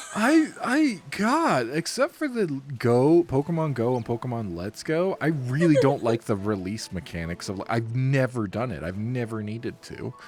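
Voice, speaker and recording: Amid noticeable background noise, a man of medium pitch talks at a moderate pace with lively intonation and hardly any pauses. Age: 30s. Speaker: gaming channel co-host. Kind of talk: casual gameplay chat. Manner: animated.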